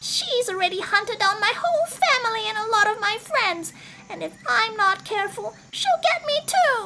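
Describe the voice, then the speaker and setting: A woman puts on a squeaky character voice, pitched extremely high. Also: moderate pace. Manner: nervous.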